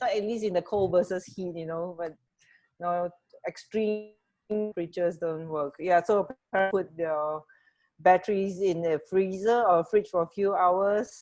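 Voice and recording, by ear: A woman talks at a fairly slow pace in a fairly low pitch. Her tone is slightly mellow, and her intonation is fairly even.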